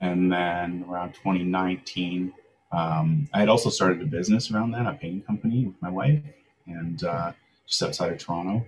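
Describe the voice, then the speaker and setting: Speaking at a moderate pace with a Canadian accent, a man uses a very deep, low pitch with ordinary pitch variation. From Langley, British Columbia, Canada. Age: 30s. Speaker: crypto business development manager. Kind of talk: casual interview.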